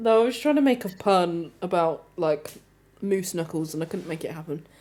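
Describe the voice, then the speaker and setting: In a British accent, a woman with a dark, mellow tone and fairly low pitch talks at a moderate pace with lively intonation, on a very clean recording with a silent background. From Britain. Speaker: talk show co-host. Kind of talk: casual chat. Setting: live stream.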